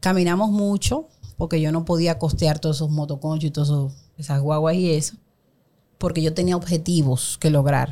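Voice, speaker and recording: A woman with a very deep, low pitch and a dark, mellow tone keeps her loudness very even at a moderate pace. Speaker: women's empowerment coach. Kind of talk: interview.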